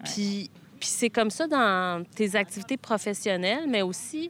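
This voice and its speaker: Speaking at a very slow pace, a woman uses lively intonation at a medium pitch, and the sound is dry and close with no echo. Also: very clean recording, silent background. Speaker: friend of the host. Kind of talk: casual chat. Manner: halting.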